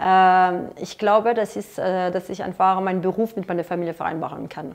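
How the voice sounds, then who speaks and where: Over a quiet background, a woman at medium pitch talks at a moderate pace in a monotone, flat intonation. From France. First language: French (speaking German). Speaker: lobbyist; interviewee. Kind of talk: interview questionnaire. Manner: halting, many filler sounds. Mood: calm, reflective. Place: office. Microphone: lapel.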